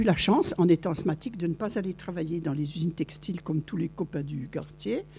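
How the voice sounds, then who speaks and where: A woman speaks at a fairly low pitch. Her tone is dark and mellow, and somewhat breathy. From France, Vosges. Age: 70s. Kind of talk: testimony. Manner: animated storytelling.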